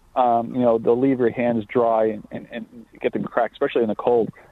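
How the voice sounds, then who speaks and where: At a moderate pace, a man talks with a Long Island accent. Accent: Long Island New York. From Long Island, New York. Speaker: skincare company co-founder. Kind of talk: interview.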